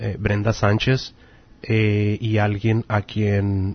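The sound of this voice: A man speaks slowly at a fairly low pitch. His pitch barely moves.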